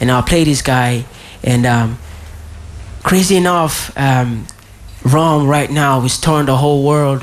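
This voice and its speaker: At a fairly slow pace with long, frequent pauses, a man speaks with a fairly high pitch, fairly even intonation and very even loudness. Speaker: radio host. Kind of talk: radio DJ patter, live show intro. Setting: live with audience.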